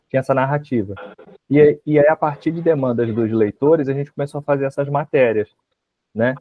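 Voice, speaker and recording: A man with a Rio de Janeiro accent and ordinary pitch variation. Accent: Rio de Janeiro accent, hissing s. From Rio de Janeiro, Baixada Fluminense. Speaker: university history professor. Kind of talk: interview.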